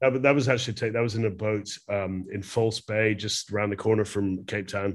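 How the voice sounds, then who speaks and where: Fairly even intonation comes through with a Glasgow accent in a very clean recording over a silent background. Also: man, fairly low pitch for a man, fairly quick pace. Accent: Scottish (Glasgow). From Scotland, Glasgow. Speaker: fine art photographer. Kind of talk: interview conversation. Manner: halting with fillers.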